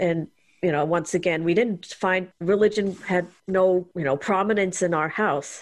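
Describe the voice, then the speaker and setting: At a moderate pace, a woman with a plain, everyday voice speaks at a fairly low pitch with fairly even intonation. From India (Chennai), early childhood in US. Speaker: guest, religious abuse survivor and activist. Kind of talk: interview conversation.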